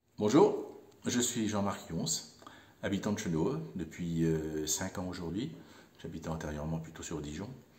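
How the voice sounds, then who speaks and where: With audible room echo, a man speaks at a fairly slow pace with long, frequent pauses in a very deep, low pitch. His tone is dark and mellow, somewhat breathy, and his intonation is lively. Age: 60s. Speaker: volunteer bike mechanic. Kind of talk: interview monologue. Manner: hesitant, many fillers.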